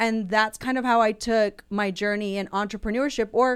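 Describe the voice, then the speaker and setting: A woman with a Texas accent at a medium pitch and moderate pace, on a very clean recording with a silent background. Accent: American, Texas. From Houston, Texas. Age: 40s. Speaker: muralist and entrepreneur. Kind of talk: casual interview. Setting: studio.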